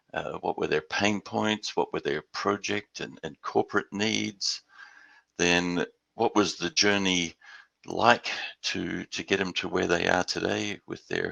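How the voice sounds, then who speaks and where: With an Australian accent, a man speaks at a fairly slow pace in a dry, close sound with no echo. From Australia, Perth; later Houston. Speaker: industry presenter. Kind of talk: webinar presentation.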